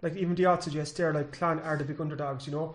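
Speaking at a very fast pace, a man with a West Cork accent talks at a fairly high pitch. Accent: West Cork Irish. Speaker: sports editor and co-host. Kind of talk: casual sports chat and interviewing.

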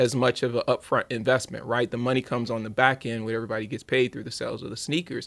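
In a very clean recording with a silent background, a man with an American accent talks at a fairly quick pace in an unremarkable speaking voice of medium pitch. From Louisiana, US South. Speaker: sneaker entrepreneur and podcast host. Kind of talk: casual interview chat.

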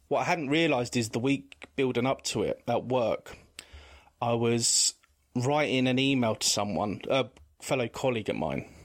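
A man with an English accent speaks at a medium pitch and a moderate pace, with ordinary pitch variation and very even loudness. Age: 40s. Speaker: guest sharing mental health experience. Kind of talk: testimony. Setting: video call.

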